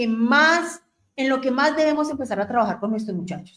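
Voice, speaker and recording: Here a woman speaks at a high pitch and a moderate pace. Her pitch swings very widely. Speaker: radio host. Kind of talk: radio talk on family topics.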